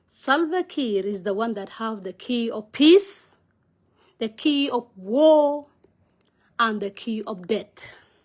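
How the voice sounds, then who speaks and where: A woman speaks at a very slow pace with long, frequent pauses, a fairly high pitch and very wide pitch swings. Her loudness swings a lot, and the recording is very clean with a silent background. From South Sudan. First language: Nuer. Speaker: vlogger, political commentator. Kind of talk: casual monologue vlog on politics. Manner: halting, non-fluent English with fillers.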